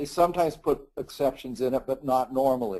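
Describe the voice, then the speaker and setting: This man has a dark, mellow tone. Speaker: litigator, asset protection lawyer. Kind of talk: webinar presentation.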